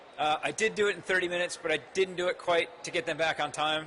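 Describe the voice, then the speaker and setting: Very fast speech from a man with an American accent over noticeable background noise. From United States. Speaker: marketing executive. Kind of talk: conference talk. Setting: stage with audience. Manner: animated.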